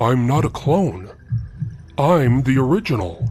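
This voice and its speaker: Putting on a character voice, a man speaks at a fairly slow pace with lively intonation over light background noise. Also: medium pitch for a man. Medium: read story.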